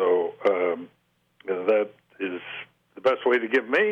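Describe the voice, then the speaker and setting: A man talks at a fairly slow pace. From eastern Oregon. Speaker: mental health association president. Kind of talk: radio interview. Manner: halting.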